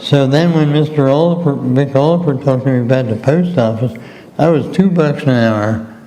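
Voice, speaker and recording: A man with an American accent and a fairly high pitch, at a fairly quick pace with ordinary pitch variation and very even loudness, amid noticeable background noise and audible room echo. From southeastern Pennsylvania, US. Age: 80s+. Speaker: retired mail carrier. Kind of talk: interview.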